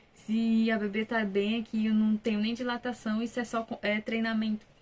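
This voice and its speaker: A woman's somewhat breathy voice at a fairly high pitch and a moderate pace. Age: 20s. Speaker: vlogger, new mother. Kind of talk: personal testimony, casual vlog. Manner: casual, conversational.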